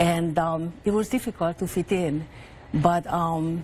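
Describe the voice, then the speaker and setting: With a Hungarian accent, a woman speaks at a fairly low pitch in a somewhat breathy voice with fairly even intonation. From Hungary. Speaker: author. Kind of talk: TV interview.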